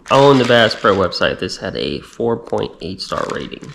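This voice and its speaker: Someone with an American accent speaks at a moderate pace with ordinary pitch variation over noticeable background noise. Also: man. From Texas. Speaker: fishing vlogger, army veteran. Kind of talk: casual product talk to camera.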